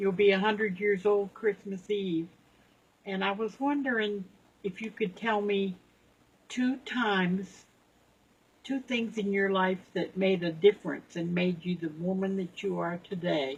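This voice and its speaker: Somewhat breathy and at a medium pitch, a woman speaks at a fairly slow pace with ordinary pitch variation and long, frequent pauses. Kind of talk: interview questions to a relative.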